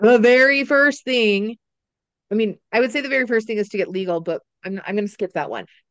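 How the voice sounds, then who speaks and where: A woman talks at a fairly quick pace with a fairly high pitch and ordinary pitch variation. The sound is dry and close, with no echo. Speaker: business educator and entrepreneur. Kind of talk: casual interview. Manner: loud, talkative, opinionated.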